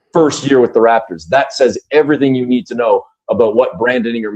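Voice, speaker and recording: At a medium pitch, a man uses a normal speaking voice, talking fairly quickly with ordinary pitch variation. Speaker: basketball radio play-by-play broadcaster. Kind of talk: interview answer.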